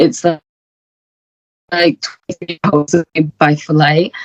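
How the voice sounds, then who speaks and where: In a dry, close sound with no echo, a woman with a very deep, low pitch speaks at a fairly slow pace with fairly even intonation. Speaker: final-year medical student. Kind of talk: casual interview chat.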